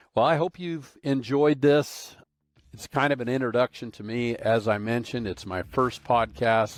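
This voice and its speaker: At a moderate pace, the speaker uses an ordinary speaking voice with ordinary pitch variation. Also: man. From Arizona. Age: 60s. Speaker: industrial automation consultant and trainer. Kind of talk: podcast monologue. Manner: casual, conversational.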